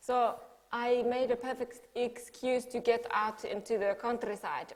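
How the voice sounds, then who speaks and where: In a Finnish accent, a woman speaks with fairly even intonation at a fairly high pitch. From Finland. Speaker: artist. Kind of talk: talk to an audience.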